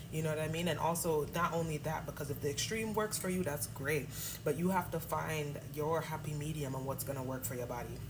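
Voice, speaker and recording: A woman with a very deep, low voice and an American accent talks at a fairly quick pace. Her pitch varies in an ordinary way, with noticeable background noise behind her. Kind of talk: casual talk to camera.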